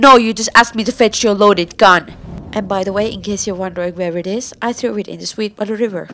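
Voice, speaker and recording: Speaking at a very fast pace in a Finnish accent, a woman keeps a medium pitch and fairly even intonation with big swings in loudness. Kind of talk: fan dub of TV drama dialogue.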